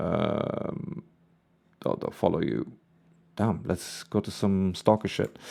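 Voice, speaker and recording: Here a man talks at a fairly slow pace with a very deep, low pitch. His pitch variation is ordinary. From northeast England. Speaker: music reaction youtuber. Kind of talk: casual reaction commentary. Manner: casual, conversational.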